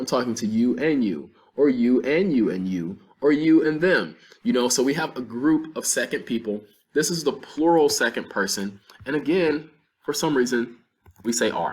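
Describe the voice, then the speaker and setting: Speaking with an American accent, a man talks at a moderate pace in a medium pitch, his intonation lively. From North Carolina, US South. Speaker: Spanish teacher. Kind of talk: lecture.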